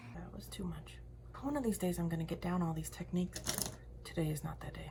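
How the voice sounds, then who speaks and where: Someone talks at a very fast pace in an animated tone over noticeable background noise. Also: woman. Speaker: lifestyle and makeup vlogger. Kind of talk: casual vlog chat while doing makeup. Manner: chatty, animated.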